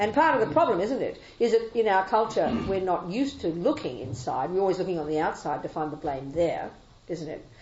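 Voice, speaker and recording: With an Australian accent, a woman talks at a fairly quick pace in a medium pitch, her voice making very wide pitch swings amid audible room echo. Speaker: Buddhist nun and teacher. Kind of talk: dharma talk with Q&A. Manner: fast; animated.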